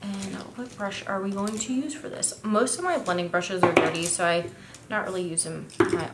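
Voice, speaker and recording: A woman of medium pitch speaks at a moderate pace with ordinary pitch variation. There is audible room echo and noticeable background noise. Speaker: beauty vlogger. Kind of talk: makeup tutorial / first impressions review. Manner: casual, chatty.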